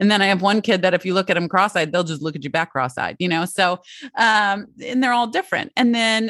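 Here is a woman in an ordinary speaking voice, medium in pitch, with lively intonation. The sound is dry and close with no echo, over a quiet background. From Michigan, Detroit area. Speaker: parenting coach. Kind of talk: interview.

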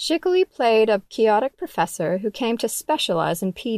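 Delivered at a moderate pace, a normal speaking voice comes through dry and close with no echo on a very clean recording with a silent background. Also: woman. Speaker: magazine editor reading article aloud. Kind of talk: literary audiobook reading of a magazine feature, scripted narration. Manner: measured, even narrator pacing.

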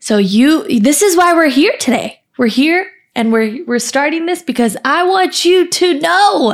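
An animated woman speaks with an American accent. Her pitch swings very widely at a fairly slow pace. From California. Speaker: podcast host, self-love and mental health advocate. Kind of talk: motivational monologue.

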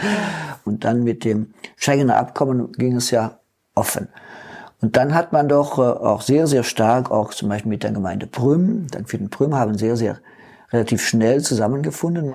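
A man's dark, mellow voice sits at medium pitch, moving at a moderate pace with lively intonation. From East Belgium (German-speaking community, St. Vith). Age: 70s. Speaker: retired mayor. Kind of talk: interview.

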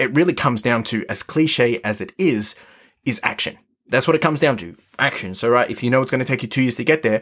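A man speaks at a very fast pace in an energetic tone on a very clean recording with a silent background. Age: 30s. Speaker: podcast host. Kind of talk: solo motivational monologue.

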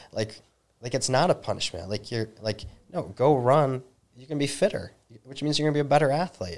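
A man with a normal speaking voice and an American accent, medium pitch, lively intonation, big swings in loudness and a fairly quick pace. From Northern Michigan. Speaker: high school running coach and race director. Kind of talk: casual interview.

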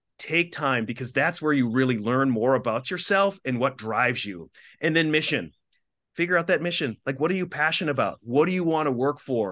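Talking fast-ish with an American accent, a man uses a fairly high pitch, a bright, sharp tone and lively intonation over a quiet background. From Minnesota, small town. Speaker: TV anchor and communications executive. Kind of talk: interview.

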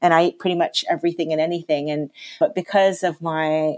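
Talking at a fairly quick pace with a slight Canadian accent, a woman keeps a fairly low pitch and fairly even intonation. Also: very clean recording, silent background. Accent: Canadian, slight, living in London. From Canada. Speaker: natural chef. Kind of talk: casual interview.

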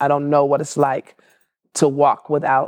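A woman with an American accent speaks in a monotone, flat intonation at a very deep, low pitch. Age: 60s. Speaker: marriage and family therapist. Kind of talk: interview.

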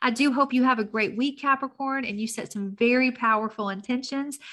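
A woman with a Tennessee accent speaks at a fairly quick pace with fairly even intonation. The background is quiet. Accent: Southern US (Tennessee). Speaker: astrologer, podcast host. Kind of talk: weekly horoscope monologue. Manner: casual, conversational.

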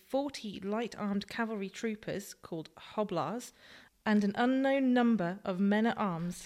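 On a very clean recording with a silent background, a woman speaks in a normal speaking voice at fairly high pitch. Her pitch varies in an ordinary way, at a fairly slow pace. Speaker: co-presenter reading quotes and facts. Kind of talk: reading aloud historical quotes and figures.

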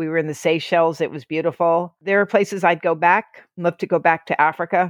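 A woman with an American accent speaks at a fairly quick pace and fairly low pitch in a monotone, flat intonation, with a dry, close sound with no echo and a quiet background. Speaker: author. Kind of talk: interview.

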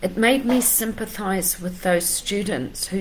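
In a room with audible echo, a woman speaks at a very slow pace with a medium pitch. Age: 50s. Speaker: life coach. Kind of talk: motivational talk to camera.

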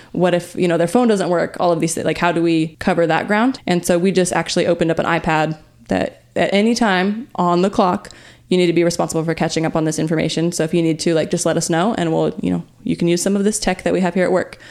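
A very fast American accent with fairly even intonation and very even loudness, on a very clean recording with a silent background. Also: woman, fairly low pitch for a woman. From Riverside, California. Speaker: podcast co-host, business manager. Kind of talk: casual business chat.

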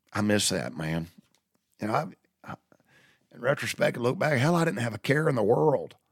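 With vocal fry and very wide pitch swings, a man speaks at a fairly quick pace in a medium pitch, leaving long, frequent pauses. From US South. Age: 60s. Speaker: podcast host. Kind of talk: storytelling monologue. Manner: halting.

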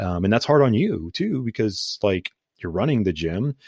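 A man with a Midwestern American accent at a fairly quick pace, dry and close with no echo, in a very clean recording with a silent background. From Ohio, US (Canton). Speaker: podcast co-host. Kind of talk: casual chat. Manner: animated.

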